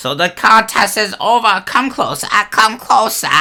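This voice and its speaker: Moderate pace and high pitch in a man's put-on character voice. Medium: actual play. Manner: commanding, repetitive.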